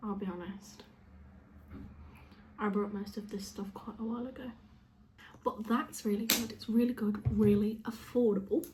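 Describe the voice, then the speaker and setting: In a British accent, a quiet voice moves at a moderate pace with long, frequent pauses. Intonation stays fairly even while loudness swings widely. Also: woman, fairly high pitch for a woman. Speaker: beauty vlogger. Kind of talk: makeup tutorial. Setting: at home, sitting on a chair with dog on lap. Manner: speaking quietly; casual, chatty.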